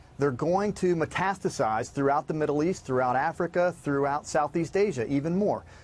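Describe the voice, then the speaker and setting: Using a normal speaking voice, a man talks at a fairly high pitch and moderate pace, with ordinary pitch variation, very even loudness and hardly any pauses. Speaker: former Navy SEAL, security company co-founder. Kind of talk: TV news interview answer.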